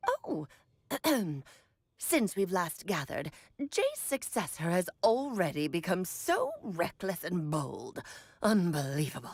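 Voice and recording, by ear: A woman's put-on character voice, medium in pitch and fairly slow, with long, frequent pauses.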